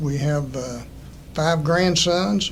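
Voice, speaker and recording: A man with an American accent talks very slowly with fairly even intonation. Audible room echo surrounds his voice. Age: 70s. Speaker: political candidate. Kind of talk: candidate statement.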